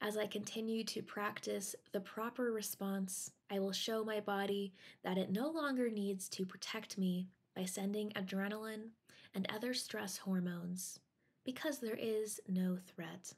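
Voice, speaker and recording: A woman speaks in a calm, soothing tone, somewhat breathy, with fairly even intonation. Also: medium pitch for a woman, fairly slow pace. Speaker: meditation guide. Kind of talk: guided meditation. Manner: calm, slow, soothing; instructional, paced with pauses.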